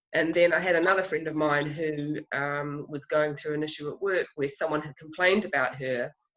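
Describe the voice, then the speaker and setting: A moderate pace and fairly even intonation, in a New Zealand accent. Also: woman. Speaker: filmmaker. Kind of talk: festival Q&A interview. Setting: video call.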